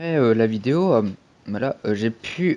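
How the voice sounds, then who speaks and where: Speech unfolds at a fairly slow pace against a quiet background. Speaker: youtuber. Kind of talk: commentary vlog. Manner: halting, many fillers.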